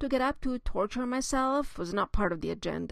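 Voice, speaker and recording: A woman with a non-native accent, a fairly high pitch and some vocal fry speaks at a moderate pace with lively intonation against a quiet background. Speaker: author; mother of a child with a skin disease. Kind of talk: memoir reading.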